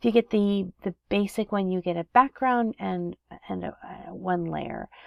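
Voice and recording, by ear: Speaking at a fairly slow pace, a woman with a fairly low pitch shows vocal fry and ordinary pitch variation. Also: dry, close sound with no echo.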